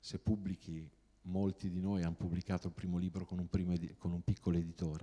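Very deep, low male voice, dark and mellow in tone, intonation fairly even. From Romagna, Italy (small town near Tuscan border). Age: 40s. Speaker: novelist; guest. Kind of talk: talk to students. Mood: humorous, relaxed. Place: hall. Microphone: handheld.

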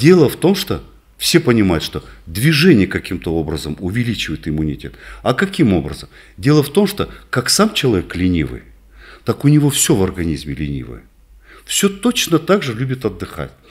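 A man with vocal fry and a fairly low pitch makes very wide pitch swings, leaving long, frequent pauses against a quiet background. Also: moderate pace. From northern Kazakhstan. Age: 60s. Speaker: doctor, rehabilitation specialist; guest. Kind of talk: interview. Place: office. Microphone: studio mic.

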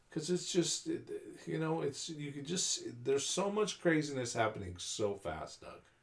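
This man with an American accent has a fairly high pitch and a somewhat breathy voice, with very wide pitch swings and big swings in loudness. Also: moderate pace. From California. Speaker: UFO enthusiast. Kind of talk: casual chat.

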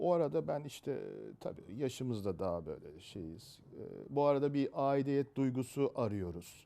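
A man with a medium-pitched voice speaks at a fairly slow pace, his dark, mellow tone carried by lively intonation. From Istanbul, Turkey. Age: 50s. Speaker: retired insurance professional, football fan club member. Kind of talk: interview. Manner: hesitant, many fillers.

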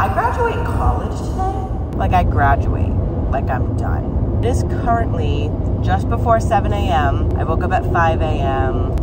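The speech moves at a fairly slow pace under loud background noise. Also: woman. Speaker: vlogger. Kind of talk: casual vlog chat. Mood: excited, upbeat. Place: car. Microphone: phone near.

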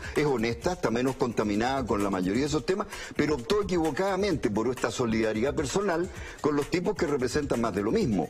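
At a very fast pace, a man talks with very even loudness and a medium pitch that swings very widely. Faint music plays in the background. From Chile. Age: 70s. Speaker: politician. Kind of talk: interview. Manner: animated. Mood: critical, argumentative. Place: studio. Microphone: lapel.

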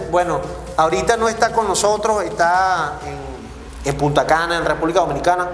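A man with a Venezuelan accent speaks at a moderate pace in a high pitch with ordinary pitch variation, amid light background noise and audible room echo. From Caracas, Venezuela. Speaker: podcast host. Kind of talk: casual interview chat. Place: studio.

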